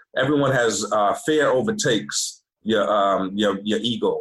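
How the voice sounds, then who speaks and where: With an American accent, a man speaks in a plain, everyday voice at a medium pitch with lively intonation. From Boston, Massachusetts. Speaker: chef, army veteran. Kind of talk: casual chat. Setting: video call.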